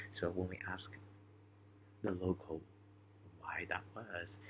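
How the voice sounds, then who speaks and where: A quiet man at a very deep, low pitch, at a moderate pace. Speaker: student keeping a reflection journal. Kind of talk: personal video journal. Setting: at a friend's home at night. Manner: quiet, hushed; hesitant, many fillers.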